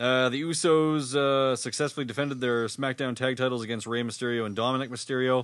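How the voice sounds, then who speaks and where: With a Canadian accent, a man talks at a very fast pace. His pitch sits in the medium range. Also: hardly any pauses. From Winnipeg, Canada. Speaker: wrestling podcast co-host. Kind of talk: casual chat, banter. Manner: joking, profane.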